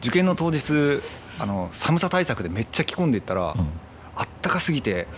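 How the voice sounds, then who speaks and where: Over noticeable background noise, a man with a fairly high pitch talks fairly quickly, his pitch swinging very widely between long, frequent pauses. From Itoshima, Fukuoka, Kyushu, Japan. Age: 40s. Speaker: photographer. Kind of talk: casual chat.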